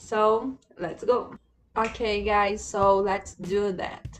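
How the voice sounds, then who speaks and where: A woman speaks at a medium pitch. She talks with a Portuguese accent. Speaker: language learner and video creator. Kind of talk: tutorial. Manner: halting, many fillers.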